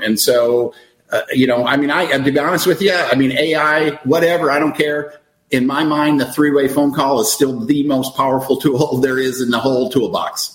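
Fairly high in pitch, a man's unremarkable speaking voice moves at a fairly quick pace with fairly even intonation. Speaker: network marketing leader. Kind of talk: casual interview chat.

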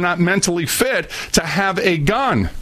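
Noticeable background noise accompanies a man with an American accent who speaks at a high pitch with ordinary pitch variation. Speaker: radio host. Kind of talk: angry rant. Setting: studio. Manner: loud, fiery, indignant; preachy, sarcastic.

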